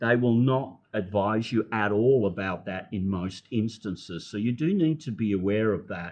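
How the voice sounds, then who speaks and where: With an Australian accent, a man talks at a fairly low pitch with ordinary pitch variation and hardly any pauses. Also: moderate pace. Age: 70s. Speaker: retired health practitioner, expat. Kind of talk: interview conversation.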